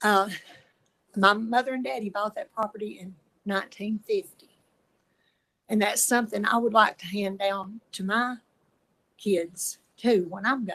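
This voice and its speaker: Speaking slowly in an East Tennessee accent, a woman uses a medium pitch, fairly even intonation and a bright, sharp tone. Her loudness swings a lot, and her pauses are long and frequent. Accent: Southern US (East Tennessee). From US South. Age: 70s. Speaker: resident speaking in opposition. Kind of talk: public comment at a planning hearing. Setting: public meeting, speaking at a mic.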